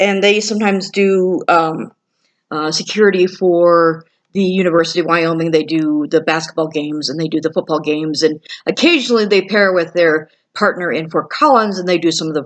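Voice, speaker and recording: At a fairly quick pace, a woman speaks in a fairly low pitch with ordinary pitch variation. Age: 40s. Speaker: security guard. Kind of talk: video message to another YouTuber. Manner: hesitant, many fillers.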